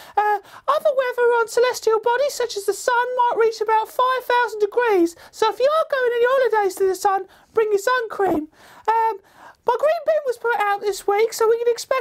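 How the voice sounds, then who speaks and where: A woman uses a put-on character voice that is squeaky and extremely high in pitch. She speaks at a moderate pace. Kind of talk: deadpan comic weather report. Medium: comedy sketch. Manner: earnest, rambling.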